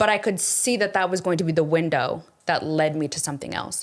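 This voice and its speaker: A woman speaks in a normal speaking voice at a fairly quick pace, fairly low in pitch with ordinary pitch variation. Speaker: investor and former makeup influencer. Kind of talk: casual chat.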